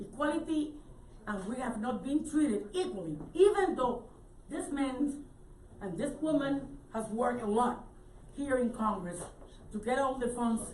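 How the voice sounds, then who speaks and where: With a Spanish accent, a woman speaks at a moderate pace in a high voice with very wide pitch swings and long, frequent pauses, and audible echo fills the room. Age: 60s. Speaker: statehood advocate. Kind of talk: press conference speech.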